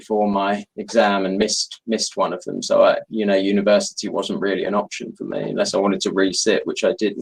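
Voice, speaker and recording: A man with a London accent speaks at a fairly quick pace with hardly any pauses. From London, England. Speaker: novelist. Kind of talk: author interview.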